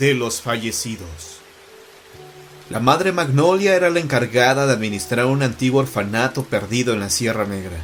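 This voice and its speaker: Music plays in the background as a man with a medium pitch and lively intonation speaks at a moderate pace. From Mexico. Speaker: journalist and writer, horror storyteller. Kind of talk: horror story narration.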